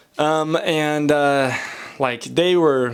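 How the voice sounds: A man speaks at medium pitch with ordinary pitch variation. His tone is clear and smooth.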